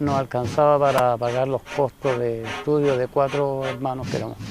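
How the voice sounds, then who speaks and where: Over noticeable background noise, a man with medium pitch talks at a moderate pace with fairly even intonation. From northern Chile, Antofagasta region. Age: 60s. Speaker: local resident, railway worker's son. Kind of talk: documentary interview.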